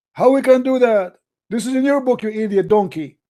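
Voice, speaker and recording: This very clean recording with a silent background has a voice moving at a moderate pace with ordinary pitch variation. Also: man. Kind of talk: heated debate. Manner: animated.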